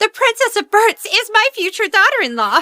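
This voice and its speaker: Using a squeaky, put-on character voice at an extremely high pitch, a woman speaks at a moderate pace with ordinary pitch variation, in a dry, close sound with no echo. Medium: fan dub.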